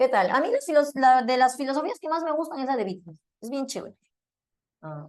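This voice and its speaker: With long, frequent pauses and big swings in loudness, a woman talks at a fairly quick pace in a high pitch with lively intonation. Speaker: philosophy teacher. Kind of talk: lecture.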